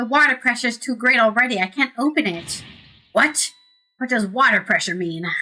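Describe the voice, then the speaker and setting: Music plays in the background. The voice moves at a fairly quick pace with ordinary pitch variation. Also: woman. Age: 30s. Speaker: streamer. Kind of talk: casual gameplay commentary with game text read aloud.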